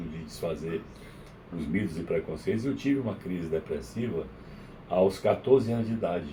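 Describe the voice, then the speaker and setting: With vocal fry and very wide pitch swings, a man talks at a moderate pace. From Brazil, Maranhão. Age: 70s. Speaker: psychiatrist. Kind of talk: interview. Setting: radio studio.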